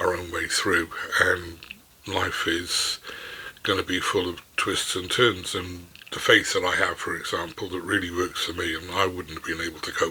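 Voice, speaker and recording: Noticeable background noise behind a man speaking at a moderate pace. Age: 60s. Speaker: business mentor and author. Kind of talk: unscripted talk to camera. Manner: halting, with many repetitions.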